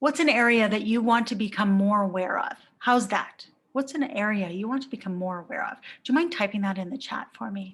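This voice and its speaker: A woman's fairly high voice moves with ordinary pitch variation. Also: fairly quick pace. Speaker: life coach. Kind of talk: live webinar presentation. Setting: online live video session with chat. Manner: loud.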